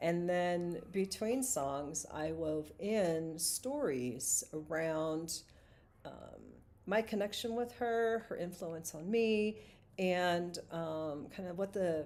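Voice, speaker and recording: At a very slow pace, a woman talks with lively intonation. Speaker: singer-songwriter and vlogger. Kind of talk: live stream monologue.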